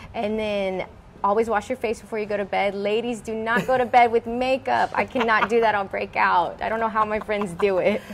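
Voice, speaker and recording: A woman with an American accent talks at a fairly quick pace in a fairly high, monotone voice with flat intonation, over light background noise. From Houston, Texas. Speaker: beauty pageant winner and fashion designer; guest. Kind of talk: interview. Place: workshop.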